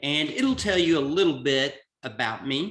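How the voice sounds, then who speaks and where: Someone speaks at a very slow pace in a Southern US accent. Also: man. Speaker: executive coach. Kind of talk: webinar presentation.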